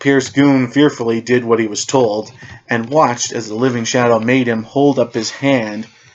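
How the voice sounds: Natural voice, reading aloud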